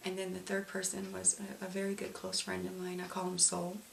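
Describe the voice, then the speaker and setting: Over noticeable background noise, a woman speaks at a moderate pace, with audible room echo. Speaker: domestic violence survivor. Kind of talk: testimony. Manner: halting.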